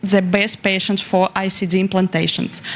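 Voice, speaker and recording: A woman with a Russian accent speaks over noticeable background noise. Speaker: young researcher presenting. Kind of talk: conference presentation. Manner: halting.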